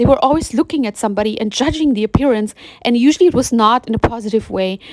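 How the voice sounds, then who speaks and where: Here a woman speaks with a fairly high pitch. Her intonation is lively. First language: German. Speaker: spiritual vlogger. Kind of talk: personal monologue. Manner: halting, with fillers and restarts.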